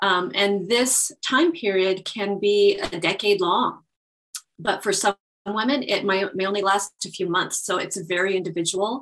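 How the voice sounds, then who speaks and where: At a fairly slow pace, a woman talks in an ordinary speaking voice of medium pitch with ordinary pitch variation. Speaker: naturopath and belly dance instructor. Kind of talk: interview, explanatory conversation.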